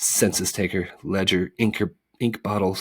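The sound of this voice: Over a quiet background, an unforced reading voice moves with fairly even intonation.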